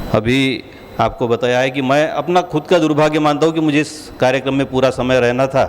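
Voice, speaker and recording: Speaking in a Marathi accent at a moderate pace, a man with fairly high pitch keeps his intonation fairly even and his loudness very even despite noticeable background noise. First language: Marathi (speaking Hindi). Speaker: state legislator. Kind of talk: formal speech at award ceremony. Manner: formal.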